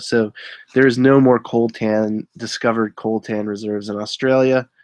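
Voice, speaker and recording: The background is quiet and the sound dry, with no echo. A man speaks at a fairly slow pace. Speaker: eBay reseller and live streamer; eBay reseller, live streamer. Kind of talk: casual live stream chat. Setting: live online broadcast with screen sharing. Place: home room.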